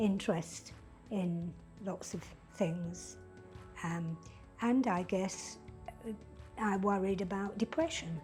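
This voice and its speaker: A woman speaks at a very slow pace with medium pitch and fairly even intonation, leaving long, frequent pauses. Music plays in the background. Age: 80s. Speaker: patient's wife. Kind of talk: interview answer.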